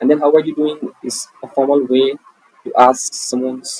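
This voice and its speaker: Someone with an Indian accent speaks at a fairly slow pace. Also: man. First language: Hindi. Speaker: English teacher. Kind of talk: online English lesson.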